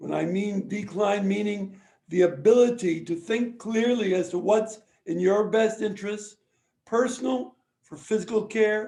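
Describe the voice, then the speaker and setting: This voice has a dark, mellow tone and a fairly slow pace. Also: man, high pitch for a man, ordinary pitch variation. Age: 70s. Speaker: lawyer. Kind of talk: lecture.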